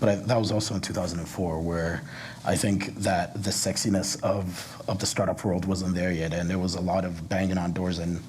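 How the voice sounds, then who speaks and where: At a fairly quick pace, a man with a very deep, low pitch speaks in a monotone, flat way, with noticeable background noise and audible room echo. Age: 30s. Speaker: entrepreneur. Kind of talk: panel discussion.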